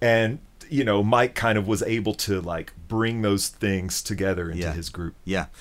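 This man has a plain, everyday voice, pitched fairly low, keeping a moderate pace and ordinary pitch variation. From US South, Memphis. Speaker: guitarist. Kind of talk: casual chat. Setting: in person. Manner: thoughtful.

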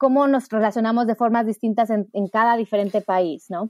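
A woman talks at a fairly quick pace with fairly high pitch and a dark, mellow tone, on a very clean recording with a silent background and a dry, close sound with no echo. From Mexico. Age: 40s. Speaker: activist and educator. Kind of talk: interview.

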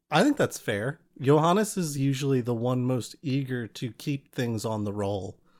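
A normal speaking voice moves at a moderate pace with lively intonation and hardly any pauses. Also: man, medium pitch for a man. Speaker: podcast host and game master. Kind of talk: interview. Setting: video call.

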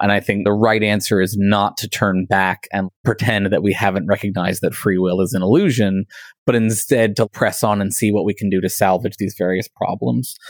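A man with an American accent delivers an unremarkable speaking voice at a fairly quick pace and fairly low pitch, with fairly even intonation, hardly any pauses, and a dry, close sound with no echo on a very clean recording with a silent background. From United States. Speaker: philosophy lecturer and podcast host. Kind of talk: casual chat.

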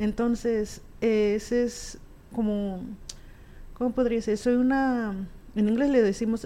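Very slow, with long, frequent pauses, a woman speaks in a flat monotone at a fairly high pitch, her tone dark and mellow and her loudness very even. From US, Alamosa, Colorado; Guatemalan family. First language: raised trilingual: Spanish, Q'anjob'al, English (speaking Spanish). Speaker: musician and community advocate. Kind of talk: interview, casual chat.

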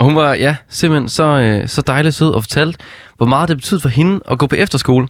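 In a very clean recording with a silent background, a man with an ordinary speaking voice and fairly high pitch speaks at a fairly quick pace with very even loudness. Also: ordinary pitch variation. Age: 20s. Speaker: stand-in radio host. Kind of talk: casual radio chat.

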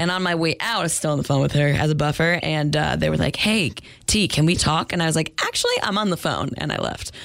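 A woman with an American accent, very deep, low pitch, ordinary pitch variation, very even loudness, and a very fast pace, over noticeable background noise. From New Hampshire, US. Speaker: podcast guest telling a personal story. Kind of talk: casual chat.

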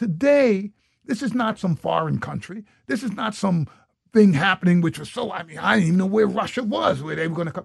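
Speaking at a fairly quick pace, a man uses lively intonation in a high pitch. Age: 60s. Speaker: education nonprofit founder. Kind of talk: interview conversation. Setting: in person, Minneapolis.

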